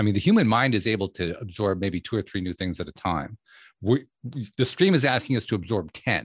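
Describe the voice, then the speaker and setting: Somewhat breathy and fairly low-pitched, a man talks at a fairly quick pace. The sound is dry and close with no echo, a very clean recording with a silent background. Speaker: podcast host interviewer. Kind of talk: interview.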